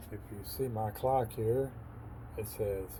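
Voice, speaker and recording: A man's fairly low voice with an American accent, very slow pace and fairly even intonation, with audible room echo and noticeable background noise. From Texas. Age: 60s. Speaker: military veteran. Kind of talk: casual vlog monologue.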